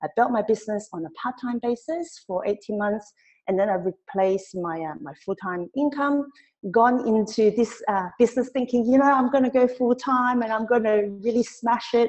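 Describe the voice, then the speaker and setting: A woman's fairly high-pitched voice with ordinary pitch variation, in a Cantonese accent. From Hong Kong. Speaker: direct sales trainer. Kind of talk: webinar training. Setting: online webinar. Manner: fast; animated.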